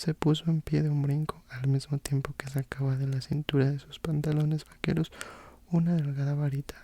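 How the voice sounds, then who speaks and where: A soft-spoken, somewhat breathy voice with a gentle, calm, dark and mellow tone, flat and monotone, at a moderate pace. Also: man. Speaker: ASMR content creator. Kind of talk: audiobook-style narration of a fantasy novel. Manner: soft-spoken, gentle, calm.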